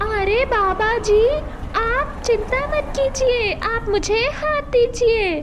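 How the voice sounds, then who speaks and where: Using a put-on character voice, a woman squeaks at an extremely high pitch and very slow pace over loud background noise. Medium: cartoon.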